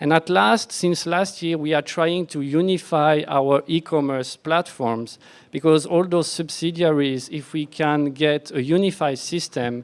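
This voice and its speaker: Fairly slow speech in a French accent, with hardly any pauses and ordinary pitch variation. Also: man, fairly high pitch for a man. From France. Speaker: software architect, conference speaker. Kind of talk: conference talk.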